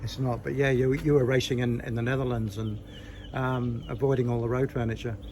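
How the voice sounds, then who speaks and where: Fairly quick, monotone speech with flat intonation and an Australian accent, plus audible room echo and noticeable background noise. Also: man, medium pitch for a man. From Australia, Nowra, New South Wales. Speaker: cycling interviewer, former amateur racer. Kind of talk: casual interview.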